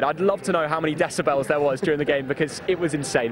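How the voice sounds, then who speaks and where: Against noticeable background noise, a man speaks at a very fast pace with a fairly high pitch and fairly even intonation. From northern England. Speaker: YouTuber, football fan. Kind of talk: interview.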